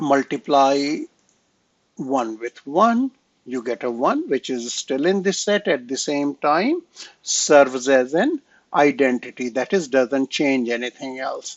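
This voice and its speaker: At a very slow pace with long, frequent pauses, a man speaks at a fairly high pitch with ordinary pitch variation. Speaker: math lecturer. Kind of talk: lecture. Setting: recorded online class. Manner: hesitant, many fillers.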